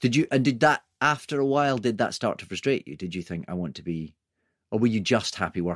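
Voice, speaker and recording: In a very clean recording with a silent background, a man of medium pitch talks at a fairly quick pace, his pitch swinging very widely and his loudness swinging a lot. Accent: English. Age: 40s. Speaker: podcast host. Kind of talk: interview. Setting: studio.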